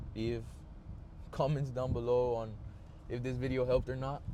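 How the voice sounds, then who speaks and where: There is audible room echo around this recording. A man talks at a fairly quick pace. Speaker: vlogger. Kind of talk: casual monologue. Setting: in a car. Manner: halting, many filler words and pauses.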